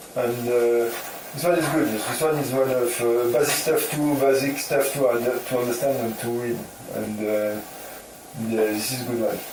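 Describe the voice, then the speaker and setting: There is audible room echo and noticeable background noise. A man speaks at a moderate pace and medium pitch, with fairly even intonation. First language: not English. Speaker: trading video creator. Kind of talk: casual monologue. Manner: halting, many fillers.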